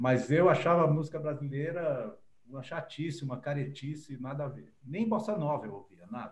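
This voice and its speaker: Amid audible room echo, a man with a fairly high pitch sounds somewhat breathy, keeping a moderate pace and ordinary pitch variation while his loudness swings widely. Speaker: journalist and writer. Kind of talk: interview.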